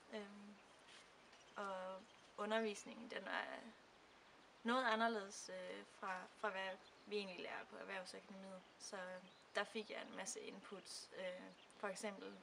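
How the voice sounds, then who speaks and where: Speaking at a medium pitch with monotone, flat intonation, a woman goes at a very slow pace with long, frequent pauses amid audible room echo. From Denmark. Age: 20s. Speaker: student. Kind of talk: testimony. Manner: halting, many fillers.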